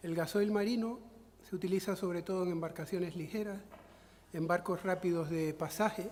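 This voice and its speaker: Here a man speaks in a high voice at a fairly slow pace. His intonation is fairly even. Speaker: conference speaker. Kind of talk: lecture. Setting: conference with audience. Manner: halting.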